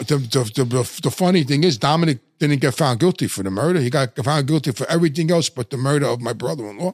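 A man talks fast at a medium pitch with lively intonation, the sound dry and close with no echo.

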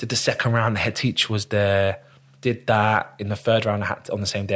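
In a London accent, a man talks at a very fast pace. His pitch is fairly low and his intonation fairly even. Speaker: actor. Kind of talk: casual chat.

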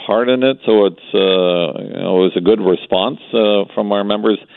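Over noticeable background noise, a man with a Canadian accent speaks at a fairly low pitch and a moderate pace, with ordinary pitch variation. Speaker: business chamber executive. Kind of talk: radio interview.

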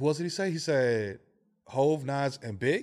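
A man speaks with a New York accent and ordinary pitch variation. The recording is very clean with a silent background. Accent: New York (Bronx). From New York, Bronx. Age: 40s. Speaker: podcast co-host. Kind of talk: casual chat. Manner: animated.

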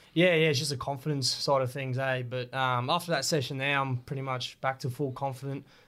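A man with an Australian accent, medium pitch, monotone, flat intonation and a fairly quick pace. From Australia, Rockhampton, Queensland. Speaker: professional rugby league player. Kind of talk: casual interview.

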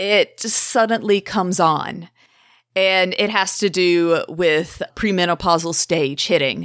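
A woman talks in a normal speaking voice at a medium pitch with ordinary pitch variation and a fairly slow pace. The recording is very clean, with a silent background. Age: 30s. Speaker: podcast host and mental health advocate. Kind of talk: casual chat; interview.

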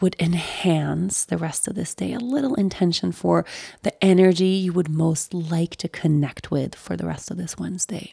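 A woman speaks in a soothing, warm, dark and mellow tone at a fairly low pitch. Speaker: meditation guide. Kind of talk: guided meditation, gentle breath-led instructions. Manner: slow, soothing and unhurried with calming pauses; warm, softly encouraging and permissive.

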